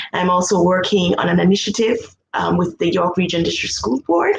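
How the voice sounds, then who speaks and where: A woman with a Jamaican accent speaks at a medium pitch with lively intonation, and room echo is audible. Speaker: music education researcher. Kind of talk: conference presentation.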